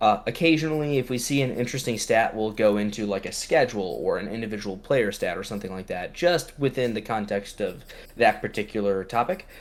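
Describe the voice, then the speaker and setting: A man mumbles at a fairly quick pace with a medium pitch. His intonation is lively. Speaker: podcast host. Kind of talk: casual chat. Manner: mumbling; fast.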